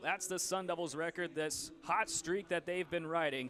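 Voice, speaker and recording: The man speaking has a high pitch. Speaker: sports broadcaster, play-by-play announcer. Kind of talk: TV baseball play-by-play.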